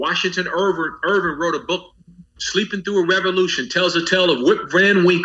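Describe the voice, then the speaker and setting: The voice belongs to a man with a high pitch. He speaks in a raised, projected voice. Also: fairly quick pace. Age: 40s. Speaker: pastor and educator. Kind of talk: interview. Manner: animated.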